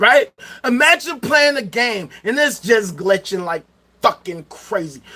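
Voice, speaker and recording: A man with an American accent uses a raised, projected voice at a high pitch and a fairly slow pace, his tone bright, sharp and animated, with very wide pitch swings. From Chicago South Side, US. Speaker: livestreamer. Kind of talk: livestream rant. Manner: loud.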